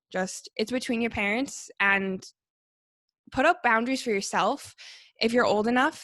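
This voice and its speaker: A woman with a Canadian accent has a plain, everyday voice and talks at a moderate pace. The recording is very clean, with a silent background and a dry, close sound with no echo. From Canada, Calgary. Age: 20s. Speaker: podcast guest. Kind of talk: casual chat.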